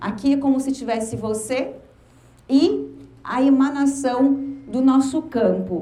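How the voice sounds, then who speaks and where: Against noticeable background noise and audible room echo, a woman speaks in a high voice. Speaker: motivational speaker. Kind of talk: lecture. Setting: stage with audience.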